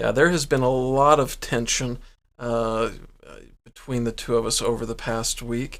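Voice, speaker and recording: Fairly even in intonation, a man delivers his words at a fairly slow pace. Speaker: podcast co-host. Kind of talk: casual chat.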